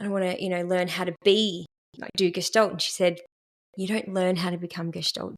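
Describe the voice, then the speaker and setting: This woman talks with an Australian accent. Her intonation stays fairly even. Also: dry, close sound with no echo. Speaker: therapist in training. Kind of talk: casual podcast conversation.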